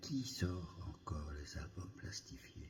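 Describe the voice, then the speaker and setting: A man is whispering. His voice is somewhat breathy. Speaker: novelist. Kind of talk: ASMR reading of a personal reflective text. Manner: whispered.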